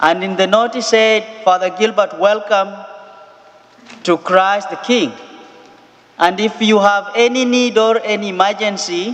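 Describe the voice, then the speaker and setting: Long, frequent pauses break up speech at a moderate pace with ordinary pitch variation, over noticeable background noise. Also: man. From Kenya. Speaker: missionary priest. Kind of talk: sermon. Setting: church.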